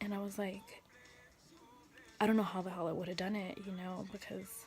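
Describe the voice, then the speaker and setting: Soft-spoken and monotone, a woman talks at a medium pitch with flat intonation while music plays in the background. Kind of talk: casual talk to camera.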